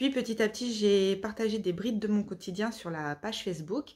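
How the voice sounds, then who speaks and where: Moderately paced female speech with ordinary pitch variation. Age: 30s. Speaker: author. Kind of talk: self-presentation monologue. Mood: earnest, emotional personal story. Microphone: phone near.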